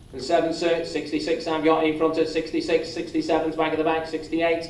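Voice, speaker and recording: Fairly quick speech from a man with a fairly high pitch, over noticeable background noise. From England. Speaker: auctioneer. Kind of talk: property auction calling. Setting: live auction room.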